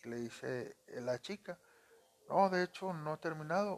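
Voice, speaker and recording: The speaker is a man with a fairly high voice. He keeps a moderate pace. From Monterrey, Nuevo León, northern Mexico. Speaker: podcast storyteller and phone screen repairer. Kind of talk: casual storytelling. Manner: conversational, many fillers.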